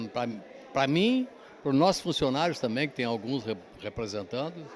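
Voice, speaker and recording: A man is speaking. His pace is moderate. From Pelotas, southern Brazil. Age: 70s. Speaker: company owner. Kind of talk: interview.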